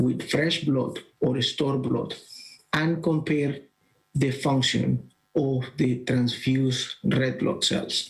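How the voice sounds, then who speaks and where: Somewhat breathy, a man with a fairly high pitch and ordinary pitch variation talks at a very slow pace. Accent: Colombian. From Colombia. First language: Spanish. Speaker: bioengineering professor. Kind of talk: conference presentation. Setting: virtual congress, recorded talk. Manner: halting, with fillers.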